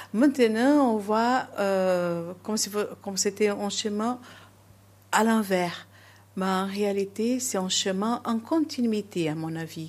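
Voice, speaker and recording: A woman with a Portuguese accent speaks very slowly at a medium pitch with ordinary pitch variation, on a very clean recording with a silent background. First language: Portuguese (speaking French). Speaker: nun. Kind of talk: interview. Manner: halting.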